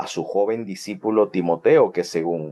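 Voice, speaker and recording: Dark and mellow in tone, the voice proceeds at a fairly slow pace. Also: man. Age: 40s. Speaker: Bible teacher. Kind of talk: Bible study lecture. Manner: halting, many fillers.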